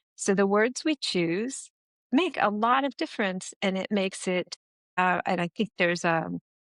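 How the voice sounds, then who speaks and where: With an American accent and lively intonation, a woman of medium pitch is recorded with a dry, close sound with no echo against a quiet background. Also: moderate pace. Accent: American, now sounds accented to Americans. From United States. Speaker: business strategist and founder. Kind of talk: podcast interview.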